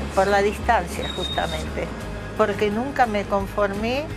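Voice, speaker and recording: A woman talks very slowly while clear music plays behind her. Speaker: writer. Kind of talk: interview answer. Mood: reflective, proud, animated gestures. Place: garden.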